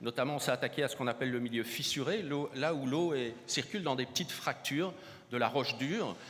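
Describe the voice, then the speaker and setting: Over noticeable background noise, a man talks at a fairly quick pace in a fairly high pitch. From southern France, Montpellier. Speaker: hydrogeology researcher. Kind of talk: conference keynote. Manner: halting, many repetitions and hesitations.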